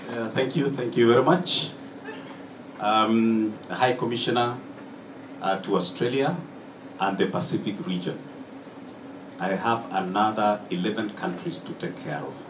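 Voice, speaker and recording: Room echo and noticeable background noise surround a man speaking at a medium pitch. He keeps a moderate pace broken by long, frequent pauses. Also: lively intonation. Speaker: diplomat. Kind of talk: speech.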